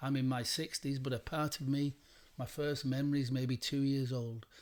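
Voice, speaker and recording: A moderate pace in an English accent, on a very clean recording with a silent background. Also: man. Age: 60s. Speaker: meditation teacher. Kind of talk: meditation talk. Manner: repetitive, emphatic.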